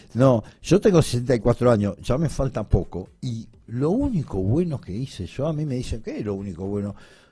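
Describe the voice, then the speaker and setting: Heard in a very clean recording with a silent background, a man speaks at a moderate pace with hardly any pauses. His medium-pitched voice is dark, mellow and somewhat breathy, with lively intonation. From Italy (Bari). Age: 60s. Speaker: sports journalist. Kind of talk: radio interview. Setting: radio studio.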